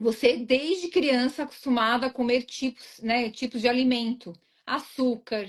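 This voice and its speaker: A high-pitched woman at a fairly slow pace, with ordinary pitch variation and a quiet background. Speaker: weight-loss mentor. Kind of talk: live interview.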